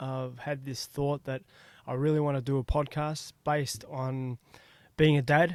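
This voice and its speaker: The speaker has an Australian accent and a flat, monotone delivery. The pace is fairly slow, and the recording is very clean with a silent background. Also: man. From Australia (Melbourne). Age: 40s. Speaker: podcast host. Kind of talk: casual solo podcast monologue. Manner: hesitant, many fillers.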